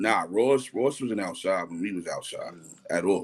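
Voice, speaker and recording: This is a man's voice. He has a strong New York accent. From New York, Harlem. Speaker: entrepreneur. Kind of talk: casual interview chat. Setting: live stream. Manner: animated.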